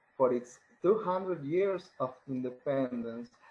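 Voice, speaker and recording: With a Spanish accent, a man talks at a fairly slow pace using ordinary pitch variation. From Argentina. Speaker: poet. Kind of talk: poetry reading.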